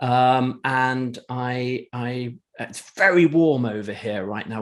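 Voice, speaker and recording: Speaking in an English accent, a man keeps his voice at a medium pitch. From England. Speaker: entrepreneur, marketing agency owner. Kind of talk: casual interview chat.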